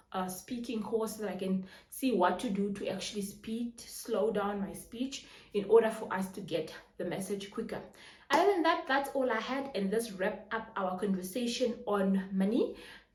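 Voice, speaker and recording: The speech has ordinary pitch variation, with audible room echo and noticeable background noise. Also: woman, fairly high pitch for a woman. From Namibia. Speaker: personal finance YouTuber. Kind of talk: tutorial. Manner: fast.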